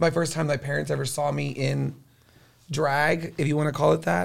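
The voice, in an American accent, moves at a moderate pace. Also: man. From Corpus Christi, Texas. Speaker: drag queen. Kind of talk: casual chat.

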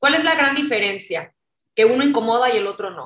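A woman's voice with a bright, sharp tone. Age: 30s. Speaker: activist and political scientist. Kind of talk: interview.

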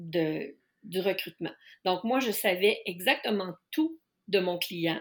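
This woman speaks very slowly at a medium pitch with ordinary pitch variation. The recording is very clean, with a silent background. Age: 50s. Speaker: life coach specializing in neurodiversity. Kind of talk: casual interview.

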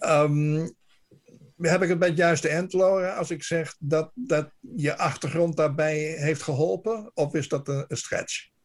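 A man at a fairly high pitch with ordinary pitch variation and a very slow pace, in a very clean recording with a silent background. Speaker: radio correspondent. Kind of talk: radio interview.

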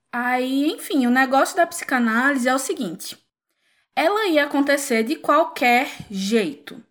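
Using lively intonation, a woman with a Pernambuco accent speaks at a fairly slow pace and a high pitch, on a very clean recording with a silent background. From Pernambuco, Brazil. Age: 20s. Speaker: clinical psychologist. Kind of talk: casual chat.

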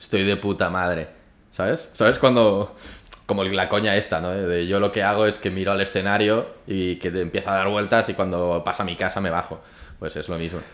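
A man with fairly low pitch and fairly even intonation talks at a fairly quick pace. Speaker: podcast co-host. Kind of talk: casual chat over wine tasting. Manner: loud.

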